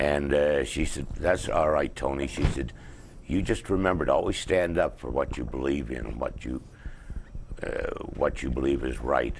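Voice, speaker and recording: With a Canadian accent, a man speaks in a very deep, low voice at a moderate pace. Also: ordinary pitch variation. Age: 70s. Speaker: activist show host. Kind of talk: casual interview chat. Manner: halting.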